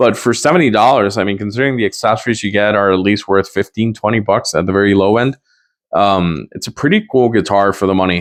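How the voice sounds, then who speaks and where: Here a man talks at a very fast pace. His pitch sits fairly low and varies in an ordinary way. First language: not English. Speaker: guitar gear reviewer. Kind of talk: product review. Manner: casual, hesitant with fillers.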